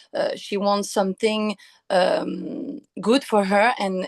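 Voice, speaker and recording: At a very slow pace, a woman with a Quebec accent talks at a medium pitch with ordinary pitch variation, in a dry, close sound with no echo. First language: French. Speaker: actress. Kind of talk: interview. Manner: halting, many hesitations.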